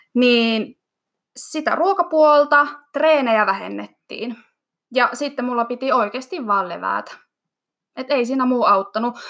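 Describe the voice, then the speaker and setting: The speech moves at a very slow pace, broken by long, frequent pauses. Pitch varies in an ordinary way. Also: woman, high pitch for a woman. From Finland, Iisalmi (Savo). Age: 20s. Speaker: fitness athlete and cheerleading coach. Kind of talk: interview.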